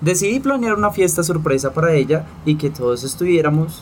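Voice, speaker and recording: A man's fairly high, unremarkable speaking voice at a moderate pace, with lively intonation. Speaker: podcast co-host. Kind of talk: casual chat.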